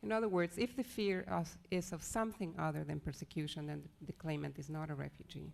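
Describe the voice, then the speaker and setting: A soft-spoken woman talks with hardly any pauses. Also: fairly quick pace. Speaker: lawyer. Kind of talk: conference presentation. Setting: legal education seminar with audience.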